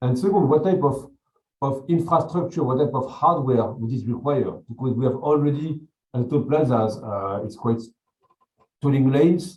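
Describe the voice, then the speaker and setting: In a French accent, a man speaks at a moderate pace with a somewhat breathy voice. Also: ordinary pitch variation. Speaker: jury member. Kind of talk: jury questioning. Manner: halting, many repetitions.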